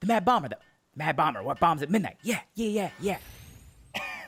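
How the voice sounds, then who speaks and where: A raspy, put-on character voice at a middle pitch is delivered at a moderate pace. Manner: ridiculous, shouty.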